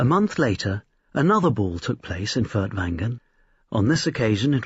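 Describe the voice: A man's voice has a husky, rough edge and big pitch swings.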